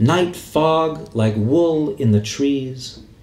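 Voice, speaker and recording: A man talks with an American accent. Audible room echo surrounds the voice. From US Pacific Northwest, Seattle. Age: 50s. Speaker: poet. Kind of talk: poetry reading. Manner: halting.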